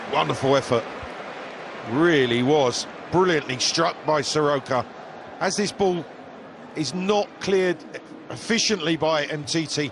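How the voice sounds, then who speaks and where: A man talks at a fairly high pitch with very even loudness, leaving long, frequent pauses. Noticeable background noise sits behind him. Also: ordinary pitch variation, fairly slow pace. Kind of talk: live football co-commentary. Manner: analytical, measured, fluent with praise.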